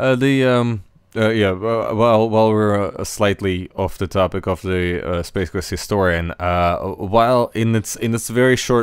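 A man with a fairly low pitch and a clear, smooth tone speaks at a fairly slow pace with fairly even intonation.

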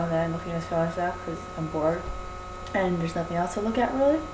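A woman at a fast pace over clear background noise

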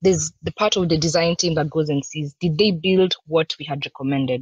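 At a very fast pace, a woman talks with a very deep, low pitch, ordinary pitch variation and a somewhat breathy quality, in a dry sound with no echo over a quiet background. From Kenya. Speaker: UX design manager; presenter. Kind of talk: conference talk. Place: home room. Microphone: webcam.

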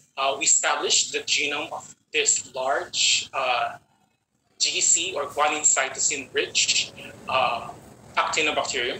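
A man's voice carries audible room echo. Light background noise is present. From Philippines. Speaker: microbiologist researcher; presenter. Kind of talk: lecture. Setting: video call. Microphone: video call.

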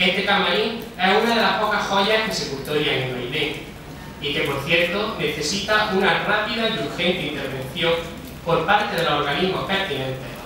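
A lively, up-and-down delivery rings out in a strongly echoing room, with noticeable noise in the background. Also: man, high pitch for a man, moderate pace. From Spain. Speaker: festival herald speaker. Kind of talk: religious proclamation speech. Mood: solemn, devotional. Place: hall.

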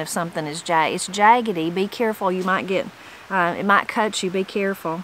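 A woman with a Southern Appalachian accent speaks at medium pitch and a fairly quick pace, her intonation fairly even. The sound is dry with no echo, with light background noise. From western North Carolina mountains (Brasstown); western North Carolina. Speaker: YouTuber on Appalachian language; channel host. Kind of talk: reading aloud with commentary. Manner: casual, conversational. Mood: warm, relaxed. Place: garden. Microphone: phone near.

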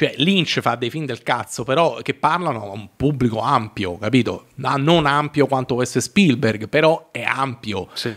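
A man at a fairly slow pace, with hardly any pauses, ordinary pitch variation and a quiet background. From Italy. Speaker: filmmaker and web series creator; podcast guest. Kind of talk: casual chat. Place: studio. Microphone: studio mic.

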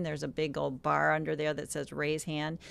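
Her voice dry with no echo, a woman talks at a moderate pace. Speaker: online event moderator; webinar host. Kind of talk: casual chat. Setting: video call. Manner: animated. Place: home room. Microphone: studio mic.

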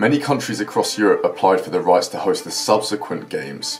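A man at a fairly quick pace, with faint music in the background. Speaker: presenter. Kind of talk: documentary narration. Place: home room.

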